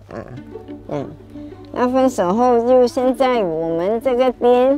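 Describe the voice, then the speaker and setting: Very slow speech with lively intonation over music in the background. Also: woman. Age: 70s. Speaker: Chinese medicine practitioner. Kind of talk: interview answer.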